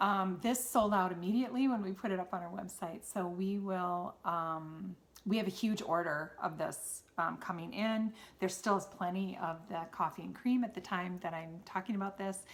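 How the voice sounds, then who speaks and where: A woman speaks at a moderate pace with a Wisconsin accent. Her pitch is medium, with ordinary variation. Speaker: knitting podcaster and yarn seller. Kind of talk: casual solo podcast chat. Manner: halting, many fillers.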